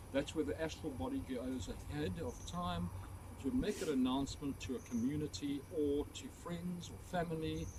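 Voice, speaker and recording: A man talks at a moderate pace in a fairly high pitch, with very wide pitch swings. Noticeable background noise comes through. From South Africa, Port Elizabeth. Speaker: ghost tour guide. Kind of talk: guided tour talk to a group. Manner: animated.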